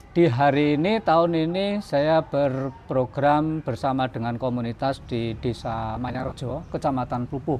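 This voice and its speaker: With music in the background, a man speaks at a fairly slow pace and fairly high pitch, showing ordinary pitch variation and hardly any pauses. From Boyolali, Central Java, Indonesia. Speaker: community development facilitator. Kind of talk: interview.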